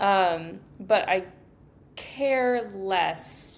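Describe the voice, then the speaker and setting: The woman talks at a medium pitch. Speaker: podcast co-host. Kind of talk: casual chat. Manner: monotone; subdued, low energy.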